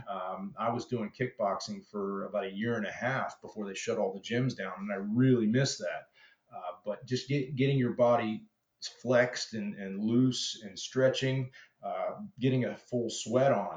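A man has an unremarkable speaking voice at medium pitch. His pitch varies in an ordinary way. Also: moderate pace. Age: 50s. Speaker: chainsaw carver. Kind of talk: interview.

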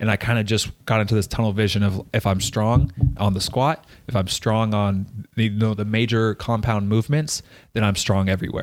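Here is an ordinary speaking voice: a man with an American accent, fairly low in pitch, talking at a fairly quick pace with fairly even intonation. His loudness stays very even, and the recording is very clean with a silent background. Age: 20s. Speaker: pro soccer player and podcaster. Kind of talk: casual Q&A chat.

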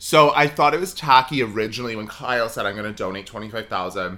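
A man's bright, sharp tone rises and falls with lively intonation and big swings in loudness. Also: medium pitch for a man, fairly quick pace. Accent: Southern California. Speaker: podcast co-host. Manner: says "like" a lot, elongates words.

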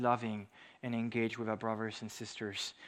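This man talks at a moderate speed, and the background is quiet. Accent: French. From France. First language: French. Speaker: preacher. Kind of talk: sermon.

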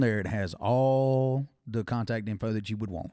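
With a Southern US accent, a man talks in a fairly low, dark and mellow voice with ordinary pitch variation. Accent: Southern US (Georgia). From Georgia, US South (Thomaston). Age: 20s. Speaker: musician and football strength coach. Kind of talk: casual chat.

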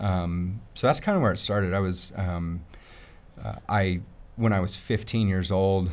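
With an American accent and a very deep, low pitch, a man speaks with fairly even intonation in audible room echo. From Colorado, US. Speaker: firefighter in recovery from addiction. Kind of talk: personal testimony.

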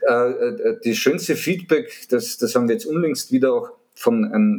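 A man talks in a Viennese accent with a fairly high pitch. His pace is fairly slow. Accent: Viennese Austrian dialect. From Vienna, Austria. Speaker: media sales consultant. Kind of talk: interview.

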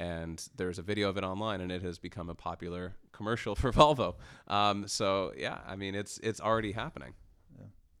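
Speaking with a Canadian accent in a plain, everyday voice, a man with fairly low pitch moves at a fairly quick pace with ordinary pitch variation and big swings in loudness, all on a very clean recording with a silent background. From Canada. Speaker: freelance journalist. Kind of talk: casual interview discussion. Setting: studio.

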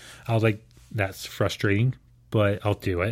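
On a very clean recording with a silent background, a man with an American accent speaks in a flat monotone at a fairly low pitch. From Houston, Texas. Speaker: missionary. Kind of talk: testimony.

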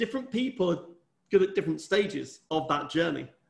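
A man with vocal fry talks at a fairly quick pace, using ordinary pitch variation. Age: 50s. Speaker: entrepreneur and company chairman. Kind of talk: interview.

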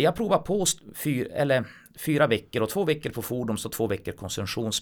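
The recording is very clean, and the background is silent. At a moderate pace, the man's voice moves through very wide pitch swings. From northern Sweden, Kiruna. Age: 40s. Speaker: blind musician and mechanic. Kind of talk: casual chat.

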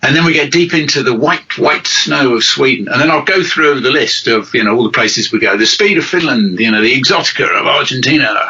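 The speaker's intonation is lively. Noticeable background noise can be heard. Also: man. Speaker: rally podcast co-host and author. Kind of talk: casual banter.

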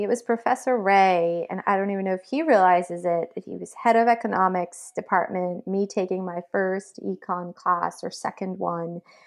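With an American accent, a woman at medium pitch talks in an ordinary speaking voice at a moderate pace with ordinary pitch variation and hardly any pauses over a quiet background. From Massachusetts, Belmont. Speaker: fintech executive. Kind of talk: interview. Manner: frequent fillers (um).

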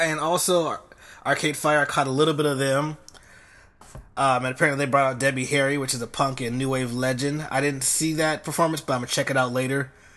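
A bright, sharp voice moves at a fairly quick pace with a flat, monotone delivery. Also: man, fairly high pitch for a man. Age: 20s. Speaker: music podcast host. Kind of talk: solo podcast monologue. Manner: casual, conversational.

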